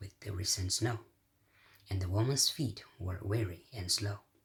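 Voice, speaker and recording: A man's fairly low voice comes out somewhat breathy. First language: Portuguese. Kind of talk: poetry reading.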